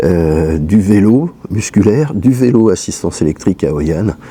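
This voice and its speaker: The intonation is lively. The pace is fairly slow. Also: man. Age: 60s. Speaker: travel vlogger with a leg amputation. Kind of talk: vlog monologue. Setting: at home. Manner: halting, many fillers.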